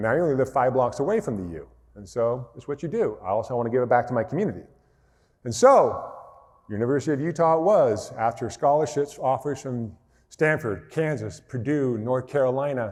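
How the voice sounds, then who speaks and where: A man with an unremarkable speaking voice and an American accent talks fairly quickly at a medium pitch, his intonation lively and his loudness swinging widely. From rural Montana, US. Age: 40s. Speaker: motivational speaker, former basketball player. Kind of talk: keynote speech.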